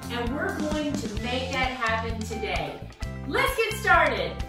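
Clear music plays in the background. The speech moves at a moderate pace with audible room echo. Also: woman. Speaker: DIY channel host. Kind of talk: tutorial intro. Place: home room. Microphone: camera far.

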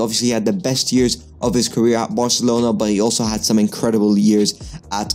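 A man talks fairly quickly. Music sounds faintly behind him. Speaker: football commentator on a channel. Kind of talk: commentary. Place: home room. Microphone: studio mic.

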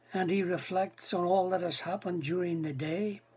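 A man's high-pitched voice. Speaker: preacher. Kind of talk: sermon. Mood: calm, reflective. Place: home room. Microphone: webcam.

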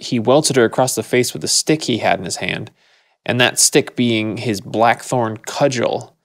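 A man talks at a moderate pace and medium pitch. It is a normal speaking voice. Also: dry, close sound with no echo. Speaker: podcast co-host. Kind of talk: casual chat.

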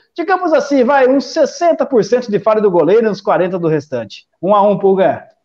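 This man talks in a high pitch with very wide swings, hardly pausing at all. His loudness stays very even throughout. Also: moderate pace. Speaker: sports betting live commentator. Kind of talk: live sports commentary. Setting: online livestream.

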